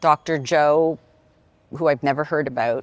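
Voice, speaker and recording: At a moderate pace, a woman speaks in a very clean recording with a silent background and a dry, close sound with no echo. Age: 60s. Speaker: workshop attendee giving testimony. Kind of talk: testimony. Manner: halting, with fillers.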